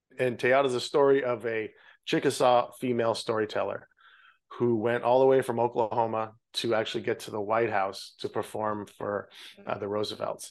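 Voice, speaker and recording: A man at a moderate pace, medium in pitch, with monotone, flat intonation and a quiet background. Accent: Canadian Prairies. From Canada, Saskatchewan (Regina). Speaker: film director. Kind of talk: interview.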